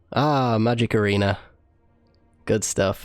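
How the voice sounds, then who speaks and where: A man with a medium pitch talks while music runs underneath. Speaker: gaming YouTuber. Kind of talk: gameplay commentary. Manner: casual, conversational.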